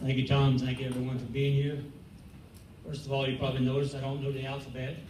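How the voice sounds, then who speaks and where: Through noticeable background noise and audible room echo, a man with an American accent speaks very fast in a monotone, flat intonation. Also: medium pitch for a man. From Louisiana, Cajun country (Eunice). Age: 70s. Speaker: school board candidate, city councilman, military veteran. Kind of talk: candidate forum answer. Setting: public forum on a college campus with audience. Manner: halting, with repetitions and fillers.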